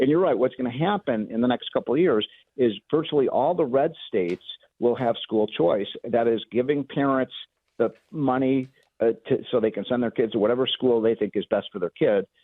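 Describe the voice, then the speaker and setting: This man has an ordinary speaking voice, with an American accent and a medium pitch. His loudness stays very even, his pitch varies in an ordinary way, and his pace is moderate. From Chicago. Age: 60s. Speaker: economist. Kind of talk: talk radio interview.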